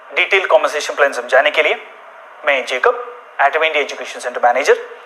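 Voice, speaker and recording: With a Malayalam accent, a man talks at a moderate pace over noticeable background noise. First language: Malayalam (speaking Hindi). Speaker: education center manager. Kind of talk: business presentation.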